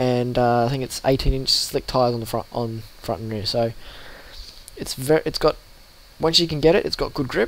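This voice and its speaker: In an Australian accent, a man talks at a moderate pace and a medium pitch, with ordinary pitch variation and long, frequent pauses. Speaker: sim racing youtuber. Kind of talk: tutorial. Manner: casual, with fillers.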